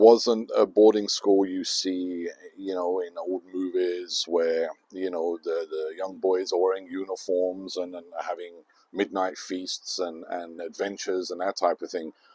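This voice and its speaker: A man with a London accent and a very deep, low pitch, at a fairly slow pace with monotone, flat intonation. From southeast London. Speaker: YouTuber. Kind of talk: personal storytelling. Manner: halting, many fillers.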